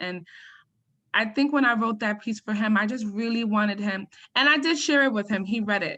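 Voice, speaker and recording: Against a quiet background, a woman with an American accent talks at a fairly quick pace, her fairly high voice bright and sharp in tone. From US Northeast, Harlem, New York City. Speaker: poet and author. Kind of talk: interview Q&A. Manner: halting, many fillers.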